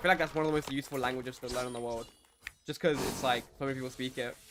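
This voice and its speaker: A man with a London accent speaks in a medium pitch with an animated tone. Noticeable background noise runs underneath. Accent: British (London multicultural). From UK. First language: Turkish. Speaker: gaming streamer. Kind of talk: live gameplay stream chat. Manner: casual, animated.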